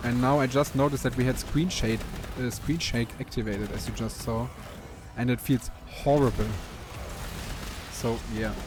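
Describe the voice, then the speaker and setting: A man speaks at a moderate pace with long, frequent pauses. Noticeable background noise is present. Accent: German. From Germany. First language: German. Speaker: gaming YouTuber. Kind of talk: gameplay commentary. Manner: halting, frequent fillers and repeats.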